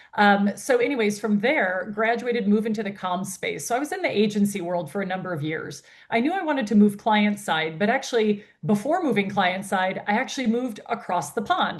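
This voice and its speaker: Against noticeable background noise, a woman with an American accent and a medium-pitched voice talks fairly quickly with lively intonation and hardly any pauses. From United States. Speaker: founder and CEO of a women's health industry network. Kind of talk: interview.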